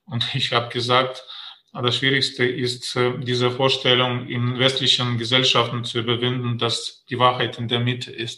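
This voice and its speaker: His tone comes across bright and sharp. The man keeps to a fairly slow pace. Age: 50s. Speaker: diplomat. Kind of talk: interview. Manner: halting, many fillers.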